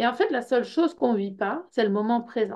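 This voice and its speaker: A woman with a Belgian accent, high-pitched yet dark and mellow in tone, with lively intonation at a moderate pace. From Belgium. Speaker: personal development workshop leader. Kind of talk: information session presentation. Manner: hesitant, many fillers.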